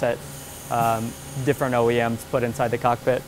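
A man talking at a fairly quick clip, with music playing in the background. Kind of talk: interview answer. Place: factory. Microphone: lapel.

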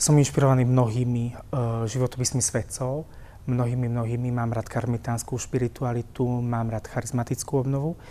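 A man speaks at medium pitch with a dark, mellow tone. His pace is moderate. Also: fairly even intonation. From Slovakia, Púchov; Slovakia. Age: 30s. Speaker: priest. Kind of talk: personal testimony interview. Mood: calm, warm, earnest. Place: church. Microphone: lapel.

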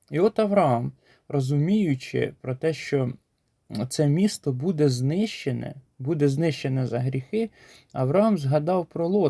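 On a very clean recording with a silent background and a dry, close sound with no echo, a man speaks at a fairly slow pace with a fairly high pitch, lively intonation and a dark, mellow tone. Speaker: preacher. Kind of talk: short sermon with scripture reading. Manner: earnest, exhortative.

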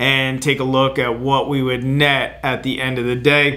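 The delivery is monotone, with flat intonation. It moves at a fairly slow pace. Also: man. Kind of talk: explainer to camera. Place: office.

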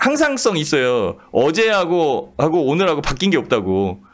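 A man speaks at a moderate pace with very wide pitch swings over a quiet background. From South Korea. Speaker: stock market commentator. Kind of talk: live market commentary broadcast. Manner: animated, conversational.

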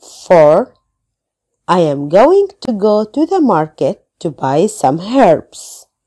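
Very slowly, a woman at medium pitch with a dark, mellow tone talks with very wide pitch swings. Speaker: English teacher. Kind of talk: tutorial; reading aloud.

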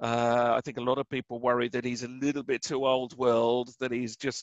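The speaker has an English accent and a monotone, flat intonation. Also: man. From England. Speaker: author and researcher of conspiracies and crop circles. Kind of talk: interview.

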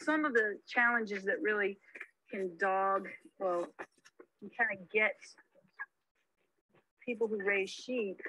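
A woman at medium pitch, slow and bright, sharp in tone, with ordinary pitch variation.

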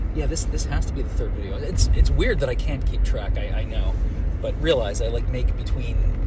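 A man talks fairly quickly. Loud background noise sits under his voice. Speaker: commuter vlogger. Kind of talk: casual vlog chat. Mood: relaxed, reflective. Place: car. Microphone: phone near.

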